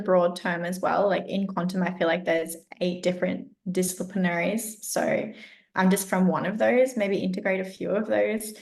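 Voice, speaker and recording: Speaking in an Australian accent, a woman has a medium pitch and a somewhat breathy sound. She talks at a moderate pace with fairly even intonation. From Australia, rural Southeast Queensland. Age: 20s. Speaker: health coach and educator. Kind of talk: podcast interview.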